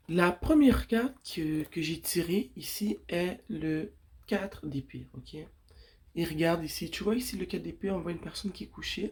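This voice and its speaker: A woman speaks at a fairly slow pace with vocal fry. Her pitch is fairly low, yet her intonation is lively. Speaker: tarot reader. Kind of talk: tarot reading.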